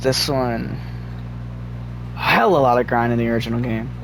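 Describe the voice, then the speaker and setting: Male speech carrying audible room echo, plus noticeable noise in the background. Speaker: gaming video creator. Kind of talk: tutorial. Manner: halting.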